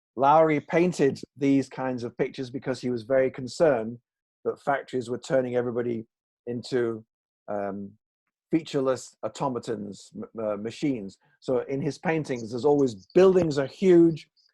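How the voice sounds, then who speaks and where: A man with a northern English accent, medium in pitch, with a dark, mellow tone, ordinary pitch variation and a moderate pace. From northern England, Salford. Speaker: English teaching author and trainer. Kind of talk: online presentation. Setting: video call.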